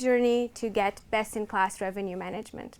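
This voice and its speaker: A woman with a Portuguese accent speaks at a moderate pace with fairly even intonation. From Portugal. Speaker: revenue management manager. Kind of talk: conference presentation.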